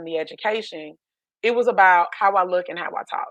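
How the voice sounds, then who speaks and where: Against a quiet background, a woman with a slight country accent talks at a fairly quick pace in an animated tone with ordinary pitch variation. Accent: slight country twang. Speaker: life coach. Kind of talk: podcast interview, personal story.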